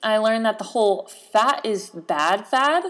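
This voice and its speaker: A woman's fairly high-pitched, animated voice in a very clean recording with a silent background. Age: 20s. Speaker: podcast host. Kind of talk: solo casual podcast monologue.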